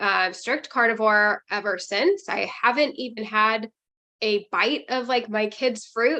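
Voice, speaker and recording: Against a quiet background, the voice has a bright, sharp tone and moves at a fairly slow pace. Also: woman, fairly high pitch for a woman, ordinary pitch variation. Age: 30s. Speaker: carnivore diet guest. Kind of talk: interview.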